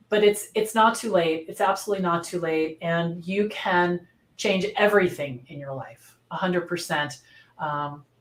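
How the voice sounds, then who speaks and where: Her voice is an unremarkable speaking voice, a woman's at a fairly low pitch with ordinary pitch variation, moving at a moderate pace with big swings in loudness. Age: 60s. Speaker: virtual assistant business owner and coach. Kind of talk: interview.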